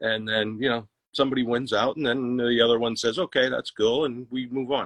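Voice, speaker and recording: A man with an unremarkable speaking voice. His pitch sits in the medium range and his intonation stays fairly even. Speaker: musician in a cover band. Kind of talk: livestream interview.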